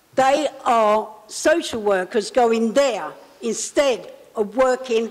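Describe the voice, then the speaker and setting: Noticeable background noise surrounds a woman with a fairly high pitch and ordinary pitch variation. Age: 70s. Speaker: member of the public. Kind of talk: public address at council meeting. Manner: emphatic.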